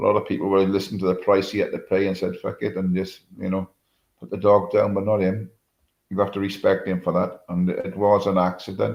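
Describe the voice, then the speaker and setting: Talking at a fairly quick pace, a man uses a fairly low pitch. His delivery is monotone and flat. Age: 70s. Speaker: livestreamer. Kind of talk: casual chat. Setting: live stream.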